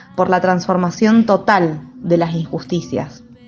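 A woman is talking. Her pitch moves with ordinary variation. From Mendoza, Argentina. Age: 30s. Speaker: historian and researcher. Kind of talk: personal testimony and explanation.

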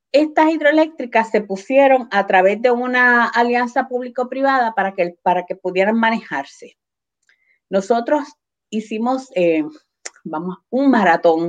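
A woman talks at a fairly slow pace in an ordinary speaking voice. Her intonation is lively. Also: fairly high pitch for a woman. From Puerto Rico, Adjuntas (central mountains). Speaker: cooperative organizer. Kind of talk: interview.

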